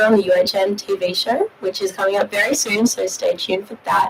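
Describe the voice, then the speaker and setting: Over noticeable background noise, a woman speaks very fast with fairly even intonation. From Australia. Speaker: university student. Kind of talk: prepared personal testimony. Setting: studio live stream.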